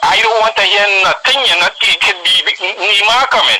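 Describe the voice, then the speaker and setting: A man with a Trinidadian accent, over noticeable background noise. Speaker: caller. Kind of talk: radio call-in. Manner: emphatic.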